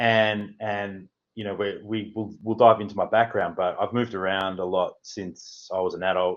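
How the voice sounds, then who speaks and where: The speaker has a strong Australian accent. The pace is moderate. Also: man. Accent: broad Australian. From Australia, Melbourne. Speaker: housing consultant. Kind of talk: interview.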